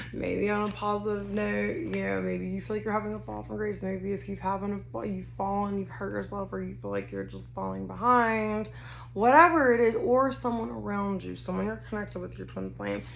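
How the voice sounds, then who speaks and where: Amid audible room echo, a woman with an American accent talks at a fairly quick pace with hardly any pauses. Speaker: tarot card reader. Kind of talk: tarot reading to camera. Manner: casual, rambling with self-corrections.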